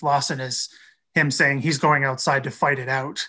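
A bright, sharp tone with a Canadian accent over a quiet background. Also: man. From Canada. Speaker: military historian, PhD candidate. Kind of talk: historical explanation.

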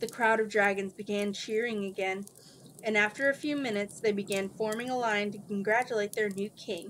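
Intonation holds fairly even. It is an unforced reading voice.

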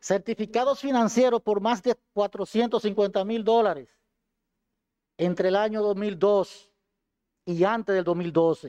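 Very slowly and with long, frequent pauses, a man speaks at a high pitch in a dark, mellow tone with ordinary pitch variation against a quiet background. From Dominican Republic, Duarte province; Dominican Republic. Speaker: defendant, former police colonel. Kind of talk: court statement. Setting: courtroom. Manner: formal. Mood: earnest, defensive. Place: hall. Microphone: podium.

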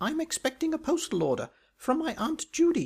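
Here a man uses a put-on character voice that is squeaky and extremely high in pitch. He keeps a moderate pace.

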